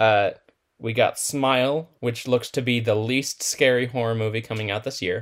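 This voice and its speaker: A plain, everyday voice from a man, medium in pitch, moderate in pace, with fairly even intonation. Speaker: podcast co-host. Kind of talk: casual chat.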